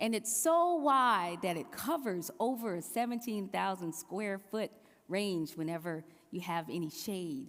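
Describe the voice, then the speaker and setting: In a South Carolina Lowcountry accent, a woman speaks at a fairly slow pace and medium pitch with lively intonation, in a very clean recording with a silent background. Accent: Southern, South Carolina Low Country. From US South, South Carolina Low Country. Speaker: preacher. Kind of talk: sermon.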